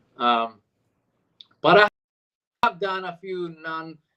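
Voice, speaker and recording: The man's bright, sharp tone comes through with a dry, close sound and no echo. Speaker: voice and screen actor. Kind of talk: casual interview chat.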